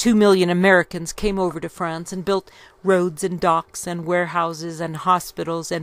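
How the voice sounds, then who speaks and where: The delivery comes at a moderate pace with monotone, flat intonation and a dry sound with no echo. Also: woman. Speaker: history reader. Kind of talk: reading aloud from a book. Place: home room. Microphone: studio mic.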